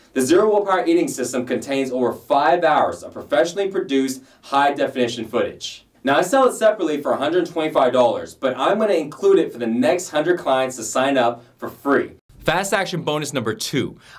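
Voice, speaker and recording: There is noticeable background noise as a man speaks fairly quickly with hardly any pauses, his fairly high voice lively in intonation. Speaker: fitness trainer. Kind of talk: sales pitch.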